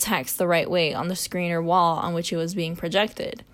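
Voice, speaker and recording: Here is a woman with a plain, everyday voice at a medium pitch, talking at a moderate pace. The recording is very clean, with a silent background. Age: 20s. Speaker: university student. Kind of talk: scripted narration.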